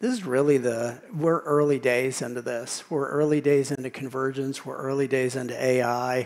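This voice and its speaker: Here is a man with an American accent and an ordinary speaking voice. His pitch is medium, his intonation fairly even, and his pace moderate. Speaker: tech industry speaker. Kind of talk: conference talk with Q&A.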